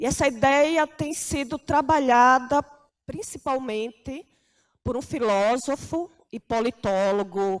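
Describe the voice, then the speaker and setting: Speaking very slowly in a northeastern Brazilian accent, a woman uses a high pitch and lively intonation. The recording is very clean with a silent background and a dry, close sound with no echo. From Brazilian Northeast, Aracaju (Sergipe). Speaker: anthropologist, lecturer. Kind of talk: lecture. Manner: halting, with fillers.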